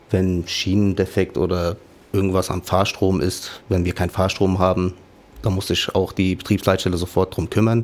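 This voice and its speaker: A man speaks in a very deep, low voice. His delivery is a flat monotone. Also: moderate pace. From Offenbach, Hesse, Germany. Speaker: trainee dispatcher, former tram driver. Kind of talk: casual interview. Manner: halting.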